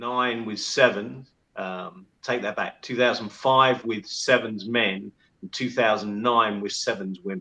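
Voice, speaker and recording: A man's bright, sharp voice with a London accent and fairly even intonation. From England, London. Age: 60s. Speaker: former rugby team manager. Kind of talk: podcast interview.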